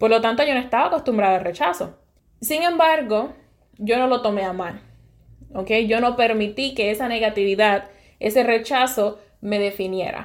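In a Puerto Rican accent, a woman speaks with a fairly high pitch on a very clean recording with a silent background. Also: ordinary pitch variation, moderate pace. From Puerto Rico, west (Sabana Grande). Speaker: podcast host, university professor. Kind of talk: solo monologue, personal story.

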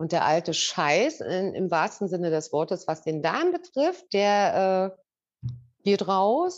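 A woman at medium pitch, very slow pace and lively intonation, against a quiet background. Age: 50s. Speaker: customer sharing testimonial. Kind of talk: testimony. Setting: video call.

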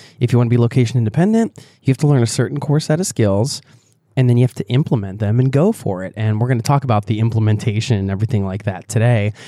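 A man with a medium-pitched, dark and mellow voice talks very fast in a dry, close recording with no echo, very clean and against a silent background. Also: ordinary pitch variation. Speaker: podcast co-host, entrepreneur. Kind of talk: casual chat. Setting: recorded at a family resort. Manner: laughs often; halting, repeats words.

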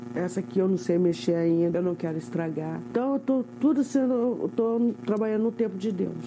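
Over noticeable background noise, a woman with a medium-pitched voice talks at a moderate pace with hardly any pauses and very wide swings in pitch. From São Paulo state, Brazil (Cruzeiro). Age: 50s. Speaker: seamstress with a life story. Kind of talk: personal testimony.

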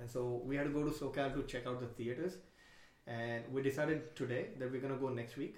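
Speaking at a fairly quick pace with a Marathi accent, a man uses a medium pitch and fairly even intonation. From India. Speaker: stand-up comedian. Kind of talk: casual chat.

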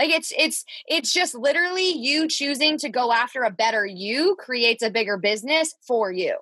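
A woman speaks at a moderate pace in a raised, projected voice, high-pitched and bright and sharp in tone, animated and with lively intonation, barely pausing at all. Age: 20s. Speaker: podcast co-host, business coach. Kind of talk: casual chat. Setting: recording in her closet.

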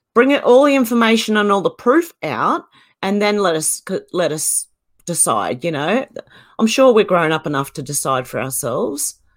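With vocal fry and very wide pitch swings, a woman of medium pitch talks at a moderate pace. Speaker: online video creator. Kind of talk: casual chat. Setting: video call.

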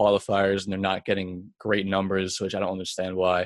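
In a New York accent, a man speaks at a fairly low pitch. His pace is fairly quick, and the background is quiet. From Long Island, New York. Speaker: professional gamer. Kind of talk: interview. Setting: home basement on extension cord.

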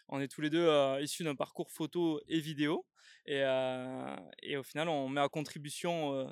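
A man's fairly slow, monotone, flat delivery, dry and close with no echo, on a very clean recording with a silent background. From southern France, Catalan area (Canet-Plage). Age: 20s. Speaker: video agency co-founder, podcast co-host. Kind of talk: casual chat. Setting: outdoors.

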